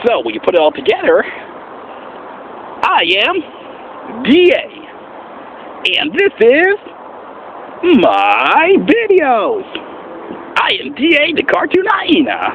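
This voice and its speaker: A man puts on a character voice at an extremely high pitch, speaking at a very slow pace with long, frequent pauses over clear background noise. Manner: playful, bouncy.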